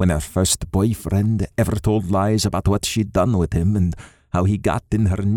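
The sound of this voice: This unforced reading voice holds its intonation fairly even.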